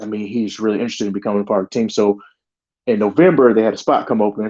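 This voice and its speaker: A man's fairly low, dark and mellow voice in a Southern US accent at a very fast pace. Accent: Southern US (Georgia). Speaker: sheriff's deputy. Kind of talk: interview storytelling.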